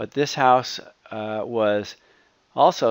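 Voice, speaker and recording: Here is a normal speaking voice with ordinary pitch variation. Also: man. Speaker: home design video presenter. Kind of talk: narrated slideshow tour.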